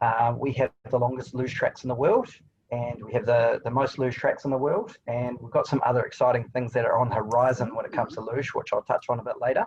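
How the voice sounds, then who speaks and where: Speaking at a very fast pace, a man talks with a New Zealand accent. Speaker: tourism attraction representative. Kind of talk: webinar presentation.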